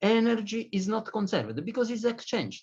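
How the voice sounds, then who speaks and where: A man speaks with a non-native accent. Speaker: physicist lecturer. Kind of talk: lecture. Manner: halting, many fillers.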